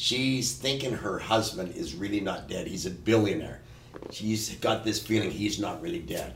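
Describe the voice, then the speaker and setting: A man talks at a moderate pace. There is vocal fry in his voice. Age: 60s. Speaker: stunt coordinator and producer. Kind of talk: casual chat.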